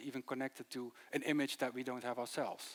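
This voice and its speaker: A man with a Dutch accent is heard in a dry, close sound with no echo, in a very clean recording with a silent background. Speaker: city archivist. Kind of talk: conference presentation. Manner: fast.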